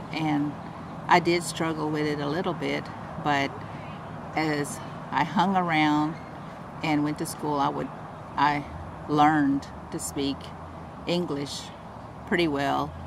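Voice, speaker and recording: Recorded with audible room echo and noticeable background noise, a woman speaks slowly in a very deep, low, monotone voice with long, frequent pauses. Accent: Louisiana. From East Texas, near Alabama-Coushatta reservation. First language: Coushatta. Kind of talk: personal testimony interview. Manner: hesitant, many fillers.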